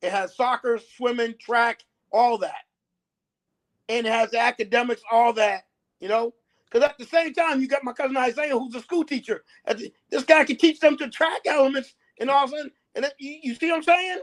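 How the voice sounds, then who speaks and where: An animated man with an American accent speaks at a fairly quick pace in an extremely high voice, with ordinary pitch variation and big swings in loudness. The sound is dry and close with no echo, on a very clean recording with a silent background. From New Bedford, Massachusetts. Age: 60s. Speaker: local sports coach, show guest. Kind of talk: casual interview chat. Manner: animated, repetitive with many fillers.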